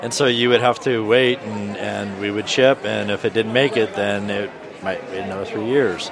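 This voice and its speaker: A man's voice over noticeable background noise. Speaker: tech company representative. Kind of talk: casual chat. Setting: booth at a conference.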